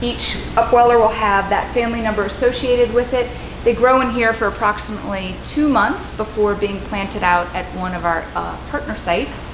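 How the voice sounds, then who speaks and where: Noticeable background noise behind a woman's fairly quick pace. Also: ordinary pitch variation. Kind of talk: technical tour explanation. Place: factory.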